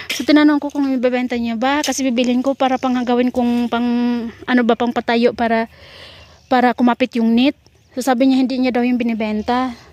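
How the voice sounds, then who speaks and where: A woman with a high pitch talks at a fairly quick pace in a monotone, flat intonation, with a dry, close sound and no echo. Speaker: gardening vlogger. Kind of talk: casual vlog narration. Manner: loud; fast.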